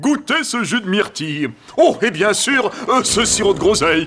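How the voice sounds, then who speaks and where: A man puts on a cartoonish character voice at a high pitch. He speaks at a moderate pace, with faint music in the background. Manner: absurdly polite, nonsensical.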